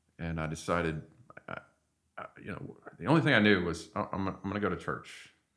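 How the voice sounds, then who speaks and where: A man's very deep, low voice at a very fast pace, with ordinary pitch variation and long, frequent pauses. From Arkansas. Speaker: church member. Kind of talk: testimony; casual chat. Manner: halting.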